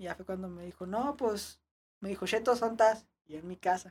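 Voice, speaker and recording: Her pace is moderate and her pitch variation ordinary as the woman speaks. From Ciudad Juárez, Mexico. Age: 20s. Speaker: BMX rider. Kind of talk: casual chat.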